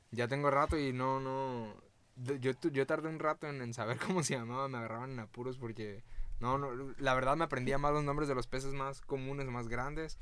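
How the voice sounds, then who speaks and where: Delivered at a moderate pace, an unremarkable speaking voice holds fairly even intonation. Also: man, medium pitch for a man. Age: 20s. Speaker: snorkel guide. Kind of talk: casual chat. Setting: in a van.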